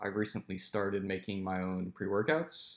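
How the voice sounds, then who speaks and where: Against a quiet background, a man speaks at a moderate pace. His pitch is fairly low. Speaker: powerlifting coach and YouTuber. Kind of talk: screen-share tutorial. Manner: casual, animated.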